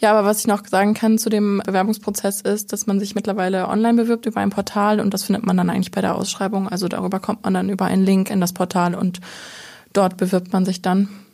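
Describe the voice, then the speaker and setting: Her tone dark and mellow, a woman speaks at a very fast pace and medium pitch with monotone, flat intonation. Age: 20s. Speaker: trainee in publishing. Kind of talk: casual interview.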